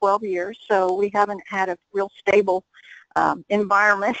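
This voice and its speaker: A woman's voice comes across with a dry, close sound and no echo. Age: 70s. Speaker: sales representative. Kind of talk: self-introduction on conference call.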